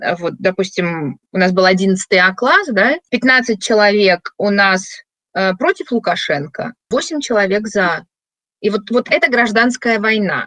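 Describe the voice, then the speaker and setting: Lively intonation and a bright, sharp tone come through at a very slow pace, with very even loudness and a dry, close sound with no echo. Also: woman, fairly high pitch for a woman. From Belarus, Minsk. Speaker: diaspora activist. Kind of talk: interview.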